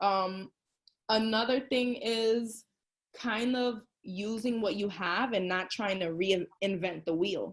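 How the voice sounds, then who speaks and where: This woman's pitch sits fairly high. She talks very slowly. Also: ordinary pitch variation. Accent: Bronx. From New York City, the Bronx. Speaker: tutor and small business owner. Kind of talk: interview. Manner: casual, filler-heavy.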